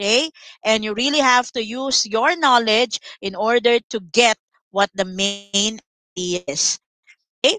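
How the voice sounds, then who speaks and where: A woman with a fairly high, bright and sharp voice speaks at a fairly slow pace with long, frequent pauses, recorded dry with no echo over a quiet background. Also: ordinary pitch variation. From Philippines. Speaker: online English tutor for grade 7. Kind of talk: online lesson tutorial. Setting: live online class with screen sharing. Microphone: headset.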